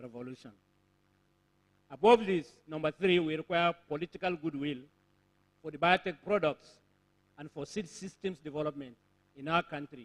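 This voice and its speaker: With a Nigerian accent, a man speaks at a moderate pace in a fairly high voice with ordinary pitch variation, the sound dry and close with no echo. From Nigeria, Borno State. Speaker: conference speaker, agricultural technology organization representative. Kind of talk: formal conference speech. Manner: formal.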